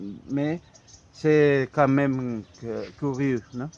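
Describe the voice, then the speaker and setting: Against noticeable background noise, a man talks at a very slow pace, his medium pitch showing ordinary variation. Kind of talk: casual talk to camera. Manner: hesitant, halting.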